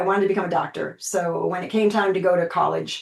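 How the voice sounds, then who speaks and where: At a fairly quick pace, a woman uses a normal speaking voice in a medium pitch. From United States, moved all over. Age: 60s. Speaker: pain and aging specialist. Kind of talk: interview. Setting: podcast interview.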